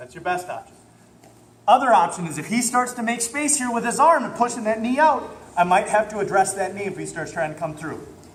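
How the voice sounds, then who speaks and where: Lively intonation marks a man talking at a fairly quick pace, with noticeable background noise and audible room echo. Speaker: jiu-jitsu instructor. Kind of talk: martial arts class instruction. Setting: gym class with students.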